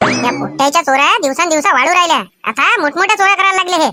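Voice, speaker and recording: A female-sounding, cartoonish character voice comes out squeaky and extremely high-pitched. It moves at a moderate pace. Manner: agitated, rustic village speech.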